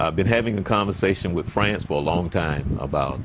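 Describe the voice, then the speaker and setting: Against noticeable background noise, a man with a very deep, low pitch speaks at a moderate pace with lively intonation. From US South. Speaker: pastor and interview show host. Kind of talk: interview. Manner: halting.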